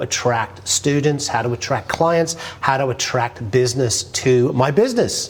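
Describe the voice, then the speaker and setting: A man with an English accent and lively intonation, against noticeable background noise. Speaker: business author and marketing speaker. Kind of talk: personal story monologue. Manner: casual.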